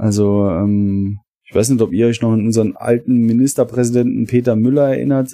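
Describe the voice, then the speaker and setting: His tone is dark and mellow. This man speaks at a medium pitch with fairly even intonation. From Saarland, Germany. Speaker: longtime listener, guest. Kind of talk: casual chat.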